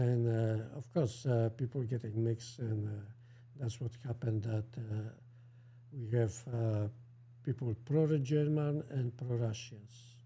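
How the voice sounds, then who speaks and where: Speaking with a strong Polish accent, a man talks fairly slowly at medium pitch, his dark, mellow voice somewhat breathy and his intonation fairly even. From central Poland. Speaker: co-host. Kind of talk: casual chat. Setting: livestream. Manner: halting.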